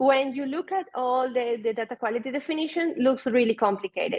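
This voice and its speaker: Speaking at a moderate pace with a Spanish accent, a woman uses a high pitch and ordinary pitch variation. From Venezuela. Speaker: data product manager. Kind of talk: conference talk.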